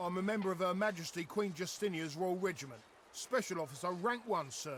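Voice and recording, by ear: This is someone reading aloud in a natural voice. The delivery is plain reading.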